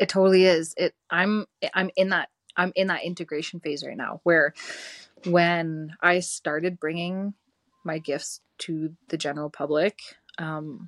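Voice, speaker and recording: A woman with a Canadian accent and a normal speaking voice, fairly low in pitch, talks at a moderate pace with fairly even intonation, in a dry, close sound with no echo and a very clean recording with a silent background. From rural Alberta, Canada. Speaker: spiritual energy worker. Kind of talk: casual chat.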